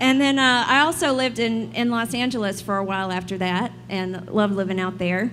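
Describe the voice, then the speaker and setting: A woman with a Southern US accent talks at a fairly quick pace with hardly any pauses, medium pitch and ordinary pitch variation. There is noticeable background noise and audible room echo. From South Carolina upstate. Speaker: singer-songwriter. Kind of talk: live radio interview. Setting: live music venue with audience.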